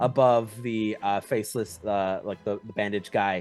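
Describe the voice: Intonation stays fairly even throughout this plain reading aloud.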